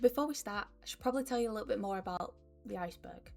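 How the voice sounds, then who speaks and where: With music in the background, a woman with a Northern English accent talks very fast at a fairly high pitch. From Northern England. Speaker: YouTuber. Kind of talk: casual talk to camera.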